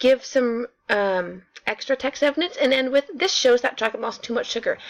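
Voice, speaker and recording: A woman speaks in a high voice. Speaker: ELA teacher. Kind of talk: tutorial. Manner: fast; animated.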